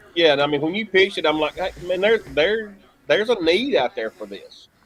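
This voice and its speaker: The speaker has a Southern US accent. The delivery is fairly quick, with lively intonation. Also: man, high pitch for a man, big swings in loudness. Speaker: local sports announcer. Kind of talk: casual chat. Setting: live stream.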